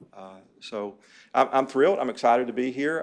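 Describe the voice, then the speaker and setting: With a Southern US accent, a man speaks at a moderate pace and keeps his intonation fairly even. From US South, southeast Kentucky. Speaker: chief financial officer. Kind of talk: self-introduction at a board meeting. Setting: board meeting room. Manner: halting, many fillers.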